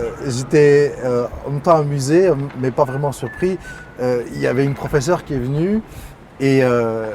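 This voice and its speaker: A man's fairly high voice at a fairly slow pace, with ordinary pitch variation, long and frequent pauses, and noticeable background noise. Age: 30s. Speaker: artistic director of a cultural centre. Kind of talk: interview. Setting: studio with cameras.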